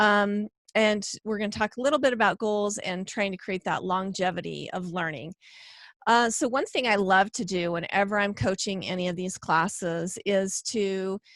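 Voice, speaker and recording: Speaking at a moderate pace, a woman with a medium pitch uses ordinary pitch variation. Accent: Western US. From Idaho, US West. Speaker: homeschooling presenter and podcaster. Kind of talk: online class presentation. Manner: hesitant, many fillers.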